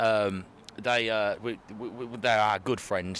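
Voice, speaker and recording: A man with a fairly low voice and a Birmingham accent. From Birmingham, England. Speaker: metal band musician. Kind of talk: casual interview. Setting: at a music festival venue. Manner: halting, many fillers.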